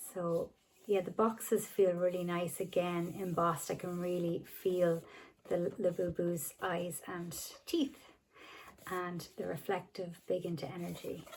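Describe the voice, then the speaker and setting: A woman speaks at a fairly slow pace. Her voice sits at a fairly low pitch. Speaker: toy collector unboxing vlogger. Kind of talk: unboxing video. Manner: animated.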